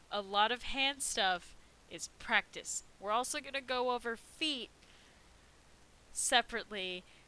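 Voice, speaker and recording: A woman with a bright, sharp tone and fairly high pitch speaks at a fairly slow pace with ordinary pitch variation and long, frequent pauses. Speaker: art teacher. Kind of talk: live art class tutorial. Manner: casual, chatty.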